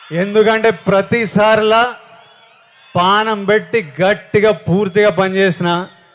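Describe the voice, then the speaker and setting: A man's high-pitched voice in an energetic tone, with noticeable background noise. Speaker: film actor. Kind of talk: speech at a film trailer launch event. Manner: energetic, rousing.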